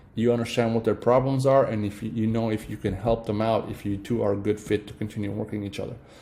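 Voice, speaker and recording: Very fast and with hardly any pauses, a man with a fairly low pitch delivers his words in a monotone, flat intonation. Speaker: online marketing tutorial creator. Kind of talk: tutorial. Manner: hesitant, many fillers.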